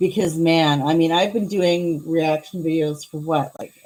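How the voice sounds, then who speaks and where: A woman's fairly low-pitched voice comes at a moderate pace. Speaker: YouTuber, reaction and commentary creator. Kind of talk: live stream chat. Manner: loud; animated.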